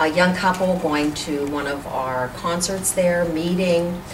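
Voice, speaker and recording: Very slow speech from a woman with a fairly low pitch and ordinary pitch variation, with noticeable background noise and audible room echo. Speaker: community organization president. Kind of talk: interview.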